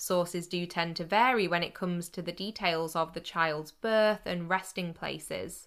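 On a very clean recording with a silent background, a woman speaks with a British accent at a fairly low pitch. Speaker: podcast host. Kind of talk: true-crime narration, scripted storytelling. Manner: measured, steady storyteller pace; sombre and serious, with a hint of disapproval.

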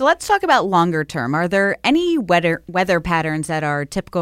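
Recorded dry and close with no echo, a woman with an American accent speaks at a fairly quick pace in a plain, everyday voice pitched fairly low. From Buffalo, New York. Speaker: podcast host. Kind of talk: casual interview.

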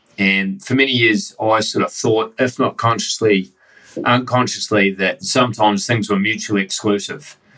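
A man with a New Zealand accent keeps his loudness very even and his pitch variation ordinary. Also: medium pitch for a man, moderate pace. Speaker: podcast host. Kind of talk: interview conversation. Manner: casual.

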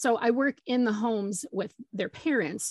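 A woman speaks with lively intonation and an American accent, her voice somewhat breathy, the sound dry and close with no echo against a quiet background. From Michigan. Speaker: parent educator and social worker. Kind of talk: interview.

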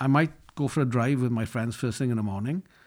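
On a very clean recording with a silent background, a man speaks with a Welsh accent. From Wales, Llanelli. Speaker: business executive. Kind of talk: interview.

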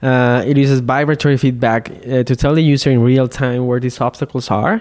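A man's medium-pitched, slightly mellow voice at a moderate pace.

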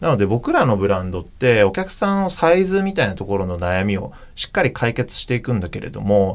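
This man talks very fast, his loudness swinging widely and his pitch leaping across a very wide range. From Japan, Okayama. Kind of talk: interview.

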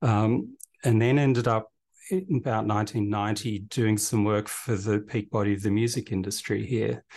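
A man with an Australian accent speaks at a moderate pace in a fairly low voice, his intonation fairly even and his loudness very even, against a quiet background. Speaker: events company director. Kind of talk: interview.

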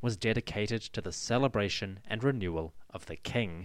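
Lively intonation from a man with a plain, everyday voice, fairly low in pitch, at a moderate pace, in a very clean recording with a silent background. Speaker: podcast host. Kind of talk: history documentary narration. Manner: measured, formal, steady storytelling pace; clear, authoritative, explanatory.

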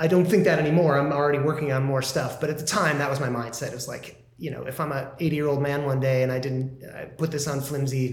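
A man's fairly high voice with an American accent at a very fast pace, hardly pausing, with fairly even intonation and noticeable background noise. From US Midwest. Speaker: musician.

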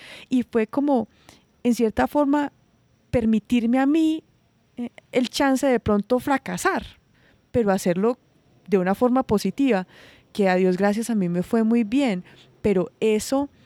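The recording is very clean, with a silent background and a dry, close sound with no echo. A woman with a fairly high pitch and a dark, mellow tone uses ordinary pitch variation, with long, frequent pauses. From Colombia, rural Risaralda. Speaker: industrial designer and social entrepreneur. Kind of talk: interview.

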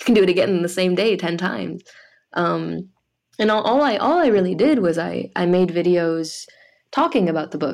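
With lively intonation and vocal fry, a woman speaks at a moderate pace and medium pitch against a quiet background. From France. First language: French. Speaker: author. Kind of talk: casual chat.

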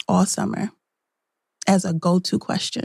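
Dark and mellow in tone, the voice is calm and somewhat breathy. The recording is very clean, with a silent background. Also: woman. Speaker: self-care consultant. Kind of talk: interview.

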